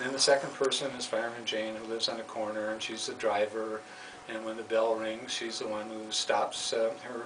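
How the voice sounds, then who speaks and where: Noticeable background noise sits behind a man's voice. His intonation is monotone and flat. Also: medium pitch for a man, fairly quick pace. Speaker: puppeteer, former school developmental counselor. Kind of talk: children's story reading.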